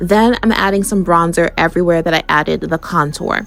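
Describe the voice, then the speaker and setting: Woman's fairly low voice with ordinary pitch variation, music in the background. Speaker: beauty content creator. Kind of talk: makeup tutorial voiceover. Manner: casual, chatty.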